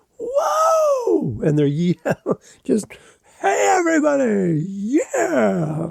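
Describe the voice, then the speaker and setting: A put-on character voice delivers the words very slowly. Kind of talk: larger-than-life broadcaster.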